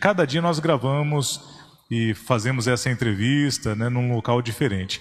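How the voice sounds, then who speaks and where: Using an ordinary speaking voice at medium pitch, a man talks at a fairly slow pace with ordinary pitch variation and very even loudness. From Brazil, São Paulo state interior. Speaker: podcast host. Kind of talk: podcast hosting.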